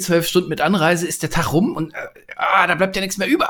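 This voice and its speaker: This man has a high-pitched voice. His pitch varies in an ordinary way. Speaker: leadership podcaster and coach. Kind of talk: casual chat. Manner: cheerful, animated.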